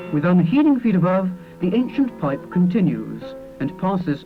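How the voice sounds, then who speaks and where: This man speaks at a moderate pace with a Bristolian accent, his high voice swinging very widely in pitch while music plays in the background. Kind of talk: documentary narration.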